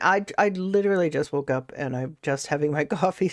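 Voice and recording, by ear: Against a quiet background, a woman in a put-on character voice sounds raspy and very deep and low in pitch, speaking at a fairly quick pace with ordinary pitch variation.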